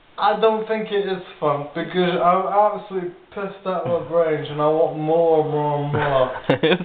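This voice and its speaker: With light background noise and audible room echo, a man with a high pitch speaks at a moderate pace, barely pausing and using ordinary pitch variation. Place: home room. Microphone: camera far.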